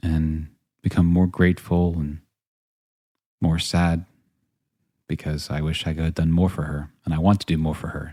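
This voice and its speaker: With an American accent, a soft-spoken man talks at a moderate pace in a very deep, low pitch with a dark, mellow tone and monotone, flat intonation. The recording is very clean, with a silent background. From northern Virginia, US. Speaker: podcast host and actor. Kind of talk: personal storytelling monologue.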